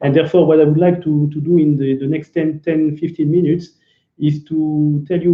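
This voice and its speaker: Speaking in a French accent, a man delivers his words in a monotone, flat intonation. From France. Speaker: business developer, company executive. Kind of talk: business presentation. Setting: online video event.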